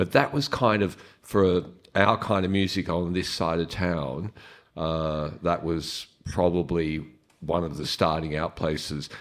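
A man with a very deep, low voice and an Australian accent speaks at a fairly slow pace with ordinary pitch variation, recorded very cleanly against a silent background. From Melbourne, Australia. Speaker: drummer. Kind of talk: audience Q&A. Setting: live audience at a club. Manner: hesitant, many fillers.

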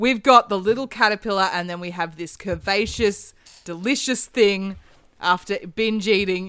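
With an Australian accent, a woman speaks at medium pitch and a moderate pace, with ordinary pitch variation and big swings in loudness, in a very clean recording with a silent background. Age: 30s. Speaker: actor, podcast guest. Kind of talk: casual chat.

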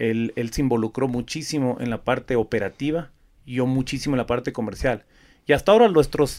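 A man talks in a normal speaking voice at a fairly quick pace. His medium pitch shows ordinary pitch variation. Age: 40s. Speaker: flower export business owner. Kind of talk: interview.

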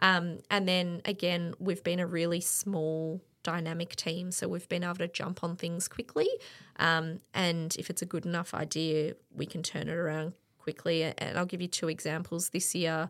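With an Australian accent, a woman speaks at a moderate pace in a fairly low, monotone, flat voice, captured in a very clean recording with a silent background. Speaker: event operations director and lecturer. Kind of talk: casual interview chat. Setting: studio.

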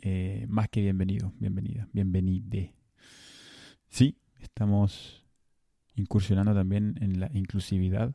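A man's fairly low, dark and mellow voice, fairly even in intonation, with long, frequent pauses, a dry, close sound with no echo and a very clean recording with a silent background. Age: 30s. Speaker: podcast host. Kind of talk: solo monologue. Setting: home recording. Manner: halting.

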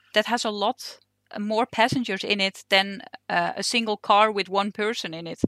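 A woman with a Dutch accent and a bright, sharp tone speaks at a fairly high pitch and a moderate pace on a very clean recording with a silent background. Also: dry, close sound with no echo. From Netherlands. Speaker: train driver. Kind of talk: interview. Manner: hesitant, many fillers.

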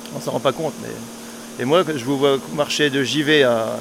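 A medium-pitched man with lively intonation, amid noticeable background noise. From northeastern France, Argonne. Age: 60s. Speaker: retired inseminator. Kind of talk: casual chat.

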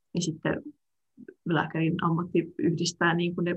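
A woman's fairly low, somewhat breathy voice at a fairly slow pace, with a dry, close sound and no echo. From Finland, Tampere area. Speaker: medical student. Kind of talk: interview. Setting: video call.

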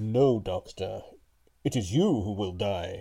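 A man speaks in a put-on character voice, fairly low in pitch and at a fairly slow pace. The recording is very clean, with a silent background. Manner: manly, menacing.

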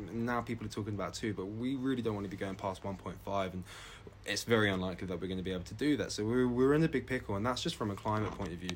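Speaking very fast, a man uses a fairly low pitch with ordinary variation. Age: 20s. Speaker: climate activist. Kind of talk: casual chat. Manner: animated.

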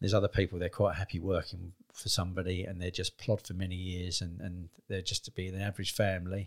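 In a southern English accent, a man with a very deep, low, somewhat breathy voice talks at a fairly quick pace, recorded very cleanly with a silent background and a dry, close sound with no echo. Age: 50s. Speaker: business owner. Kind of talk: interview.

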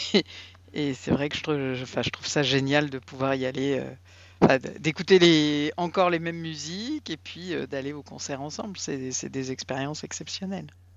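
The pace is moderate, with ordinary pitch variation. Loudness swings widely from moment to moment. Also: woman, very deep, low pitch for a woman. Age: 50s. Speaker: podcast co-host. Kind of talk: casual chat.

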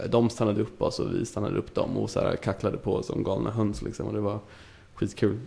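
With vocal fry and a dark, mellow tone, a man speaks at a fairly quick pace in a fairly low pitch. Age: 20s. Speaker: podcast guest. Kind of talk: casual chat.

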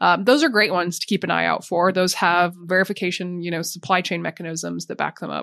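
With vocal fry and fairly even intonation, the speaker goes at a very fast pace with hardly any pauses over a quiet background. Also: woman, fairly low pitch for a woman. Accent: American. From US, Montana. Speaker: sustainability executive. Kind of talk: interview.

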